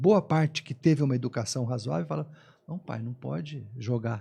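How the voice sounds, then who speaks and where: The voice has a dark, mellow tone and is somewhat breathy. Its intonation is lively. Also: man. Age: 60s. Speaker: environmental consultant, former environmental inspector. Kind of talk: panel discussion. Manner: halting, frequent repetitions.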